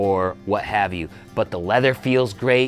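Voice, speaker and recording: Faint music plays behind a man who talks at a moderate pace, his pitch fairly low and his intonation fairly even. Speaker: boot reviewer. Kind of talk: product review talk to camera. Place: shop. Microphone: lapel.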